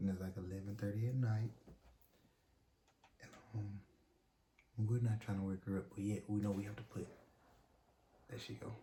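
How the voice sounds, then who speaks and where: A soft-spoken man with a fairly low pitch and a dark, mellow tone talks at a fairly quick pace in a somewhat breathy, monotone, flat delivery broken by long, frequent pauses. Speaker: YouTube couple vlogger. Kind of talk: casual chat. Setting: at home at night.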